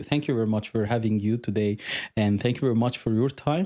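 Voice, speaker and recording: Over a quiet background, a man speaks in a dark, mellow tone with an Arabic accent. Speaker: podcast host, UX designer. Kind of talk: interview podcast. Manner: halting, many fillers.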